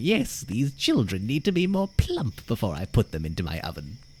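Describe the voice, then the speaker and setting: A man puts on a character voice, with clear background noise behind him. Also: medium pitch for a man, moderate pace. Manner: menacing.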